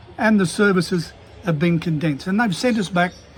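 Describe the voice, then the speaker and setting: Fairly quick and high-pitched, a man talks with an Australian accent. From Queensland, Australia. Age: 70s. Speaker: small business owner and vlogger. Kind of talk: casual monologue rant. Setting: at a desk. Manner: halting, many fillers and restarts.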